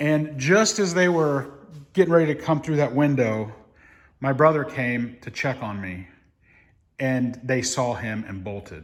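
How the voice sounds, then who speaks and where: At a fairly slow pace, a man with a fairly high pitch speaks with lively intonation. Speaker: building renovator and video creator. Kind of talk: casual vlog narration. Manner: hesitant, many fillers.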